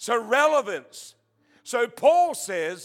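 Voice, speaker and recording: The voice makes very wide pitch swings on a very clean recording with a silent background. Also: man. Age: 70s. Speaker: travelling preacher. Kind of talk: sermon. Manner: halting.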